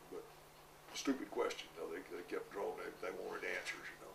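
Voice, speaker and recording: Very fast speech from a man, plus clearly audible room echo and noticeable noise in the background. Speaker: war veteran. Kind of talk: oral history interview. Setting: interview recording.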